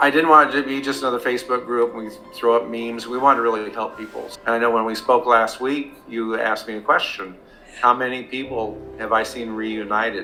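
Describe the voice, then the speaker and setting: With music in the background, a man of medium pitch talks at a fairly quick pace with ordinary pitch variation. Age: 60s. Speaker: alienated father, former police officer. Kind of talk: interview testimony. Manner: halting.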